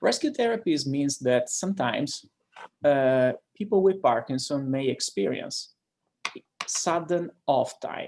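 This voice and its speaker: A man speaks with an Italian accent. His pace is fairly slow. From Italy. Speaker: neurologist. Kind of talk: lecture. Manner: hesitant, frequent fillers.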